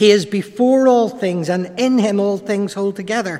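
High-pitched for a man, his voice moves through ordinary pitch variation at a moderate pace against noticeable background noise. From Ireland. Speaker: preacher. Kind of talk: sermon. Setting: church.

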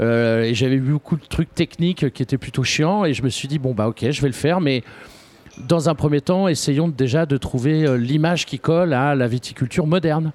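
Recorded dry and close with no echo, a man with a Parisian accent speaks at a moderate pace in a fairly high voice with ordinary pitch variation. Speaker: film director. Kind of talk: radio interview. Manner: halting.

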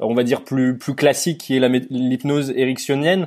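A man at a fairly quick pace. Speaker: podcast host. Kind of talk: interview.

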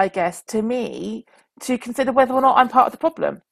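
The sound is dry and close with no echo. A woman with a fairly high pitch uses an ordinary speaking voice with ordinary pitch variation. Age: 40s. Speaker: teacher and school leader. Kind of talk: interview. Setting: remote recording.

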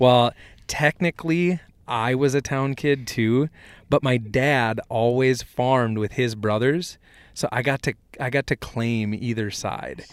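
A man with an American accent, medium in pitch with ordinary pitch variation, at a fairly slow pace on a very clean recording with a silent background, a normal speaking voice. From south central Minnesota. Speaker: ag equipment product specialist and podcast host. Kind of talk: casual chat.

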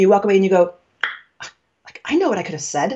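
Speaking with an American accent, a woman moves at a very fast pace. Her intonation is lively. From New York. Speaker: communication coach. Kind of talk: interview conversation, explanatory.

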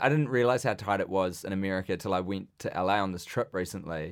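A man with a New Zealand accent, talking at a very fast pace, on a very clean recording with a silent background. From New Zealand, Wellington. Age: 20s. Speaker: comedian. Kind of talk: casual chat. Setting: studio.

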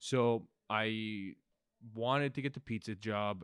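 A man's fairly low voice with a Toronto accent, fairly even intonation, and a dry, close sound with no echo, in a very clean recording with a silent background. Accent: Canadian (Toronto). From Canada, Scarborough (Toronto). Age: 30s. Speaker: comedian. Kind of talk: casual monologue. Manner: halting.

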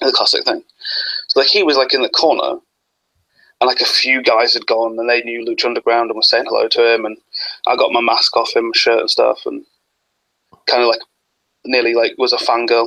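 This man speaks with an English accent. His pace is fairly quick. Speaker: wrestling fan. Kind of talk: casual chat. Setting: video call.

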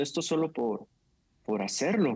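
A man talks at a moderate speed, the background quiet behind him. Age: 30s. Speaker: pastor. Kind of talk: casual chat.

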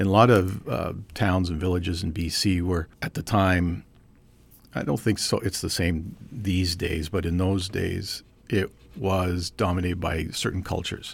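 A man's very deep, low, somewhat breathy voice in a Canadian accent, on a very clean recording with a silent background. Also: fairly even intonation, moderate pace. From Canada, British Columbia (Trail, West Kootenays). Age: 50s. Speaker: physicist. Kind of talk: casual interview.

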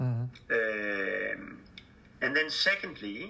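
A man speaks with a Danish accent. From Denmark. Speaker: charity fundraising director. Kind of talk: interview. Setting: Skype call. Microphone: poor sound quality over Skype.

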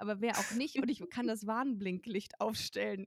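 A woman speaks in a plain, everyday voice with a fairly high pitch. The recording is dry and close, with no echo. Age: 30s. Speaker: comedy writer and podcast host. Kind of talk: casual chat.

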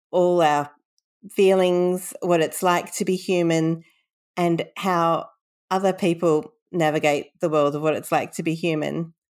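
A woman with an Australian accent, fairly low in pitch and monotone, flat in intonation, at a fairly slow pace on a very clean recording with a silent background. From Sydney, Australia. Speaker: bibliotherapist and author. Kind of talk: interview storytelling.

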